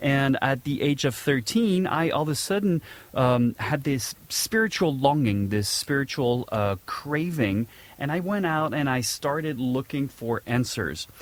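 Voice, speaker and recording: A man with a slight French accent speaks at a fairly slow pace, his fairly high pitch carrying lively intonation. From southern France, Nice. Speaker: podcast host. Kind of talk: casual monologue. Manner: hesitant, many fillers.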